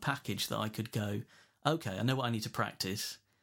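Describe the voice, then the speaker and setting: Speaking at a very fast pace, a man with an English accent keeps a fairly even intonation. His pitch sits in the medium range. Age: 40s. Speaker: guitarist. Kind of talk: casual chat. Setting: remote call.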